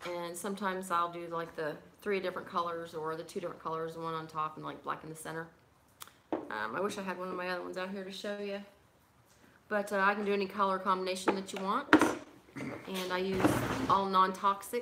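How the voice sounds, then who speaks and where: A woman mumbling at a fairly quick pace and medium pitch, fairly even in intonation, with long, frequent pauses and noticeable background noise. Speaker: pipe crafter and livestream host. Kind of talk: casual livestream chat. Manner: fast.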